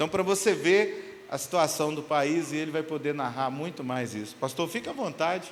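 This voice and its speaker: With hardly any pauses, a man talks at a moderate pace in a fairly high voice with ordinary pitch variation and audible room echo. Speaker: pastor. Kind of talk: introducing a guest speaker. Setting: church service.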